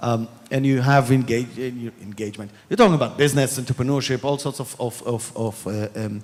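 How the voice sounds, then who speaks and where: Speaking with a strong Israeli accent, a man moves at a fairly quick pace. His pitch is medium, with ordinary pitch variation. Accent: strong Israeli accent, still noticeable. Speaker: panelist on diplomacy. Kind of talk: panel discussion. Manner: halting, many repetitions.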